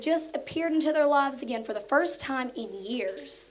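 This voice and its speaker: At a moderate pace, a woman with an Appalachian accent speaks in a high voice. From southern West Virginia, Mercer County. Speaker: elementary school teacher. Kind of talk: prepared speech.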